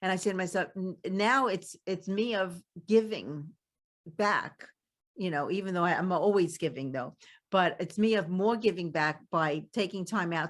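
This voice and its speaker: With a Brooklyn accent, a woman speaks at a medium pitch with lively intonation and a fairly slow pace. The recording is very clean, with a silent background. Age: 70s. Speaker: podcast host. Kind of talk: interview conversation. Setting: podcast.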